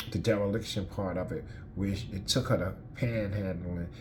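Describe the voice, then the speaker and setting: A somewhat breathy man's voice with an American accent and ordinary pitch variation, plus audible room echo. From Newark, New Jersey. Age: 50s. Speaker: person in addiction recovery. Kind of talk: testimony. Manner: halting.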